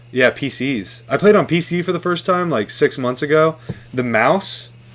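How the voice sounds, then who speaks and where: Lively intonation runs through a plain, everyday voice delivered at a moderate pace. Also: man, fairly high pitch for a man. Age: 20s. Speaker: podcast guest. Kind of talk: casual chat.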